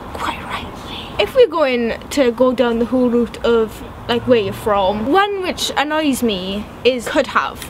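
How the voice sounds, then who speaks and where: Over noticeable background noise, a woman speaks very slowly yet with hardly any pauses, her high pitch carrying lively intonation. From Wales. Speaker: vlogger. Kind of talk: casual chat. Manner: animated.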